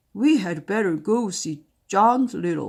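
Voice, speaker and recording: A woman puts on a raspy character voice. The recording is very clean, with a silent background. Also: medium pitch for a woman, fairly slow pace. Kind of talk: bedtime story. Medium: read story. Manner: gruff, blunt.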